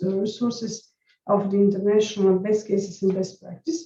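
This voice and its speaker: Somewhat breathy and dark, mellow in tone, a woman's voice sits at a medium pitch. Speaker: nursing educator. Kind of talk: conference presentation. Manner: halting.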